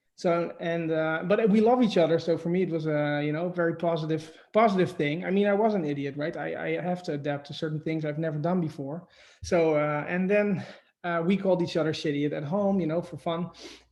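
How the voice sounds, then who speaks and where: A man with a Dutch accent, high in pitch, at a fairly quick pace with fairly even intonation. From Netherlands. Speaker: shop owner. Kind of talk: interview. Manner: halting.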